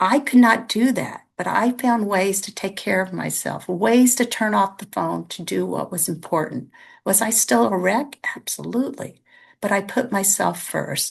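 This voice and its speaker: At a moderate pace and against a quiet background, a woman speaks with lively intonation, vocal fry and big swings in loudness. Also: medium pitch for a woman. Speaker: parent sharing family addiction experience. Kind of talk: testimony.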